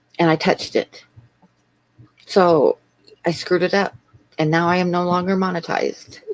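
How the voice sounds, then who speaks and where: At a moderate pace with long, frequent pauses, the voice stays flat and monotone at a very even loudness, with a dry, close sound and no echo. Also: woman, fairly low pitch for a woman. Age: 60s. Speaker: artist and livestreamer. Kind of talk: casual livestream chat.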